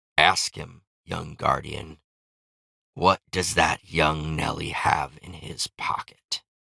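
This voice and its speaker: A man puts on a character voice, raspy and very deep, speaking at a very slow pace. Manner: cackling, taunting.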